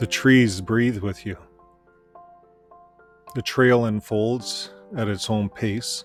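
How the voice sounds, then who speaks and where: Over background music, a man with a medium pitch speaks very slowly with fairly even intonation and long, frequent pauses. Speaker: ex-Jehovah's Witness channel host. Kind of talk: reflective nature narration. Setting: outdoors. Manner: soft-spoken.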